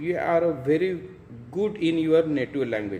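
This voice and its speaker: A man with an Indian accent speaks at a fairly slow pace in a fairly high voice. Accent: Indian (Marathi) English. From India, Maharashtra. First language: Marathi. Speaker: English teacher. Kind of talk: tutorial. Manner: halting.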